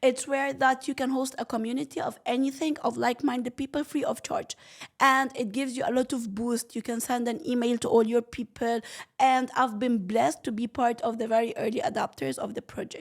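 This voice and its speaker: Loud and animated, a woman speaks at a high pitch and fairly quick pace with ordinary pitch variation on a very clean recording with a silent background. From Egypt. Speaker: entrepreneur. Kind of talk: interview.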